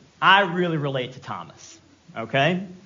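With audible room echo around him, a man with an American accent speaks in a high pitch. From Virginia. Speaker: guest preacher. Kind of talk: sermon.

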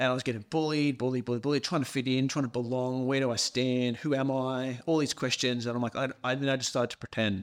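With an Australian accent, a man speaks at medium pitch. He goes very fast, in monotone, flat intonation. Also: hardly any pauses, very clean recording, silent background. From Scotland, raised in Australia from age seven. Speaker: psychotherapist and breathwork facilitator. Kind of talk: casual chat.

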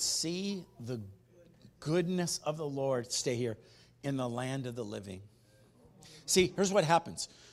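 With lively intonation, a man speaks at a fairly slow pace on a very clean recording with a silent background. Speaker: pastor. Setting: church. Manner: animated, rhetorical questions punching up each verse.

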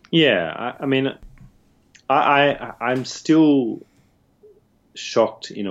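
A man with an Australian accent. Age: 30s. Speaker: academic author. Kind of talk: interview.

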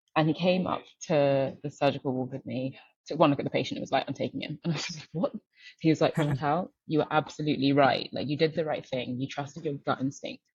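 A woman with a very deep, low pitch talks at a very fast pace in a somewhat breathy voice, her loudness swinging widely. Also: fairly even intonation. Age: 30s. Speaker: venture capital investor, former doctor. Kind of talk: interview.

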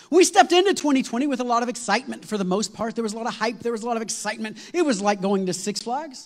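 An animated man talks at a very fast pace with hardly any pauses. His pitch is extremely high and his intonation lively. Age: 40s. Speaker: lead pastor. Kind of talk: sermon. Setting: church with congregation.

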